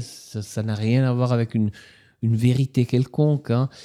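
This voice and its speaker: A man with an Italian accent has a dark, mellow tone and medium pitch. He speaks at a fairly slow pace with fairly even intonation on a very clean recording with a silent background. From Ticino, Switzerland. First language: Italian (speaking French). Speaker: novelist and literature professor. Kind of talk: author interview.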